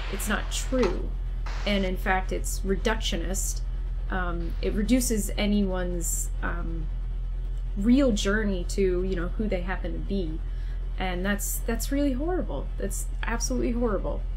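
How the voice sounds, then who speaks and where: Over light background noise, a man talks at a fairly slow pace. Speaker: co-host. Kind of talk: casual discussion. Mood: critical, earnest. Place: home room.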